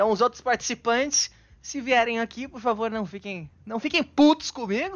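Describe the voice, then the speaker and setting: A man talks with an extremely high pitch at a moderate pace. His loudness swings widely. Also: ordinary pitch variation. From Bauru, interior of São Paulo, Brazil. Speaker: podcast host. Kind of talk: casual interview. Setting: live stream.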